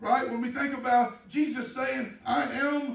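A man with a Texan accent at an extremely high pitch, with audible room echo. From Texas. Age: 50s. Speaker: pastor. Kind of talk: sermon. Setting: church. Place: church.

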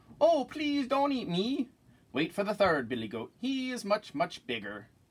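A man puts on a character voice, high for a man, with a slightly husky edge. He speaks at a fairly slow pace with big pitch swings.

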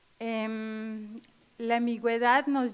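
A woman speaks with a fairly high pitch. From Mexico, Chetumal, Quintana Roo; Quintana Roo, Mexico. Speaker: lawyer, judicial candidate; candidate. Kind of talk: formal interview before legislative committee. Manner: hesitant, many fillers. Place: meeting room. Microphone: podium.

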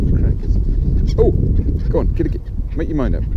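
Loud background noise fills a dry sound with no echo. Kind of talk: casual vlog chat. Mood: amused, chuckling. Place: open country. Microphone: phone near.

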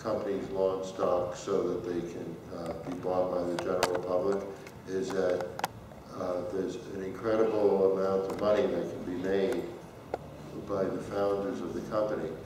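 Amid noticeable background noise and audible room echo, a man with a very deep, low pitch speaks at a moderate pace in a monotone, flat intonation, with long, frequent pauses. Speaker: conference speaker. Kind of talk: lecture. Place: hall.

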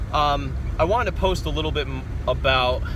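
A man speaks at a moderate pace in a dry sound with no echo. Background noise is noticeable. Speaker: vlogger. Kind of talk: casual vlog chat. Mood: reflective, motivational. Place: car. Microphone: phone near.

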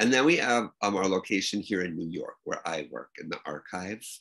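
Bright and sharp in tone, this voice carries an American accent over a quiet background. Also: man. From Minnesota, US Midwest. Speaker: archive director. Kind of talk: interview. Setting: video call. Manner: halting, many fillers. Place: home room. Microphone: video call.

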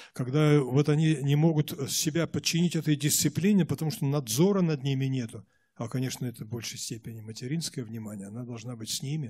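A man speaks at a fairly quick pace with a dark, mellow, somewhat breathy tone. His pitch sits fairly high and varies in an ordinary way. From Russia, Omsk region, Siberia; Russia. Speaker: Protestant church leader; guest. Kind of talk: interview answers. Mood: earnest, reflective. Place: church. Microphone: handheld.

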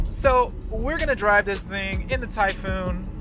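Clear music plays behind a man speaking with an American accent at a fairly slow pace. The sound is dry, with no echo. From Michigan, USA. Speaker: English teacher in Japan. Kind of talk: casual vlog talk while driving. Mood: relaxed, wry. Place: car. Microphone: camera far.

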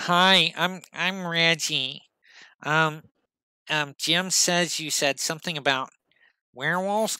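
A man puts on a nasal character voice, high in pitch, speaking at a very slow pace with fairly even intonation and long, frequent pauses in a very clean recording with a silent background.

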